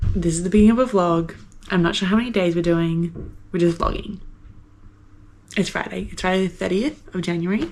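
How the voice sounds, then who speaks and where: Someone with an Australian accent talks at a fairly quick pace with ordinary pitch variation and long, frequent pauses. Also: woman, fairly low pitch for a woman. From Brisbane, Australia. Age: 20s. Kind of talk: casual vlog talk to camera. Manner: chatty, rambling.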